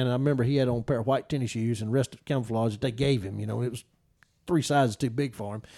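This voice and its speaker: A man with a Mississippi accent, medium pitch and ordinary pitch variation, on a very clean recording with a silent background. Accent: Mississippi Southern. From Mississippi, Noxubee County. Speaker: turkey hunting guide. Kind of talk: casual chat.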